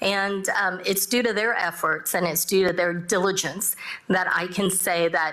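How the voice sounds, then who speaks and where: A woman talks at a moderate pace with fairly even intonation. Noticeable background noise can be heard. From Texas (Dallas area), born in South Korea. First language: Korean. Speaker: judge. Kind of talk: panel discussion. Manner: halting, many fillers.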